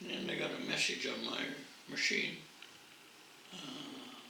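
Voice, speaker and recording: A man speaks at a fairly slow pace with a Western Canadian accent. Noticeable background noise runs behind him. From Peace Country, Alberta, Canada. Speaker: World War II veteran. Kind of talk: interview answer.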